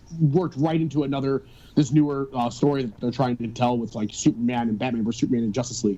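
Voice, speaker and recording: Talking at a very fast pace, a man with a Chicago accent has a dark, mellow tone and ordinary pitch variation. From Chicago, US. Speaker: metal guitarist and vocalist. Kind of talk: casual podcast chat. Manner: animated.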